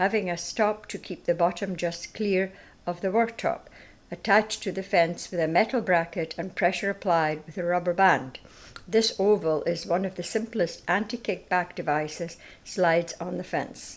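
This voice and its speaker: A woman with a Scottish accent, medium in pitch, with fairly even intonation. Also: moderate pace. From Scottish Highlands. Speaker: narrator. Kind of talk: product demonstration narration.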